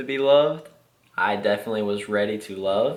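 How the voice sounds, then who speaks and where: In a room with audible echo, a man talks at a fairly slow pace in a fairly low voice. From Kentucky. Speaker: Marine, half of a dual military couple. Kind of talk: casual chat, couple telling their story.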